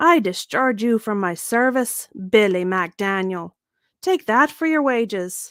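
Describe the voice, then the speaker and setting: A woman puts on a shrill character voice with fairly high pitch. She speaks at a fairly slow pace. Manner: shrieking, furious.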